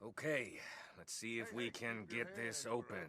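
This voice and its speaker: A man uses a raspy, put-on character voice at medium pitch. His pace is moderate and his pitch varies in an ordinary way. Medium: video game. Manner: cocky, joking.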